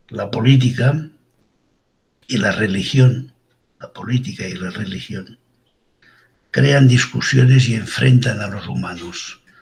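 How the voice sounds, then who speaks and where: Talking at a very slow pace with long, frequent pauses, a man has a medium pitch, vocal fry, ordinary pitch variation and big swings in loudness. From Catalonia, Girona province. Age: 70s. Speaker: forensic doctor. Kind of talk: interview. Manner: informal.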